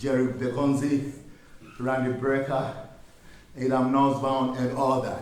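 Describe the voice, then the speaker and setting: A man talks at a medium pitch in a flat, monotone delivery, fairly slow and full of long, frequent pauses. The room echo is audible and background noise is noticeable. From Ghana. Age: 60s. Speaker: musician. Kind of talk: workshop talk.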